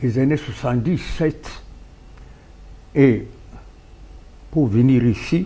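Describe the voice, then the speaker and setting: A man speaks very slowly, leaving long, frequent pauses. His tone is dark, mellow and somewhat breathy. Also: medium pitch for a man, ordinary pitch variation. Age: 70s. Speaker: political party founder. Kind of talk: talk show interview.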